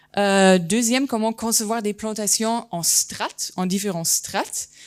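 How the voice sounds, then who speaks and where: In a very clean recording with a silent background, a woman speaks fairly slowly at a medium pitch. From Germany, German-Turkish family. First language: German (speaking French). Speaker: landscape architect and geographer. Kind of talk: conference talk. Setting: conference hall with audience. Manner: hesitant, many fillers.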